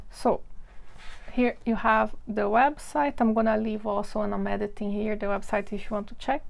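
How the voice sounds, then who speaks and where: A woman's fairly high pitch with vocal fry, fairly even intonation and a moderate pace. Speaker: art YouTuber reviewing picture books. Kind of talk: casual show-and-tell video. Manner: relaxed, with frequent um and uh fillers.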